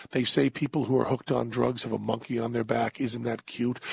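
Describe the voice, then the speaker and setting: In a put-on character voice, a man sounds raspy at a medium pitch, talking at a fairly quick pace with fairly even intonation. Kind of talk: vintage TV commercial voice-over. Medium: solo performance.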